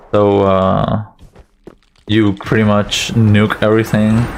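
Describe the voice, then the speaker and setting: A man's voice over noticeable background noise. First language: not English. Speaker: speedrunner. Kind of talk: live gameplay commentary. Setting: live stream.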